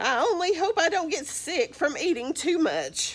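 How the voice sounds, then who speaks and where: At a moderate pace, a woman performs a put-on character voice with an extremely high pitch. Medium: read story. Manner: fretful.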